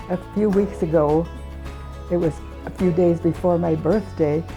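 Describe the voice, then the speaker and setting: There is music in the background. A woman talks over it at a moderate pace. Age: 80s+. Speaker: churchgoer giving faith testimony. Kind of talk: interview answer.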